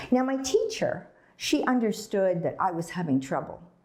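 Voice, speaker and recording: A woman speaks at a moderate pace, her voice somewhat breathy. Her pitch swings very widely. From Dundee, Scotland (early childhood), then Canada. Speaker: storyteller. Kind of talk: storytelling.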